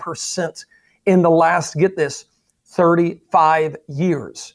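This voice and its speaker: This man speaks at a very slow pace. His pitch is high, and the sound is dry and close with no echo. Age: 40s. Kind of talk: interview.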